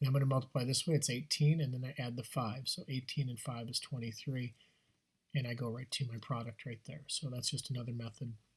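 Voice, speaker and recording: A man with a medium-pitched, somewhat breathy voice talks at a very fast pace with fairly even intonation. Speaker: math teacher. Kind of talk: tutorial. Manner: casual, with fillers.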